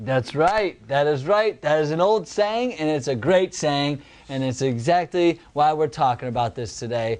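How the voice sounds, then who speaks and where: A man with an unremarkable speaking voice, fairly high in pitch, lively intonation, hardly any pauses, against a quiet background. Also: moderate pace. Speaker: podcast host, life coach. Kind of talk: casual podcast chat.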